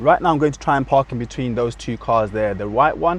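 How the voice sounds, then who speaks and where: A man speaks in a British accent. His intonation is lively and his pace fairly quick. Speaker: driving instructor. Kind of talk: tutorial. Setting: in a car.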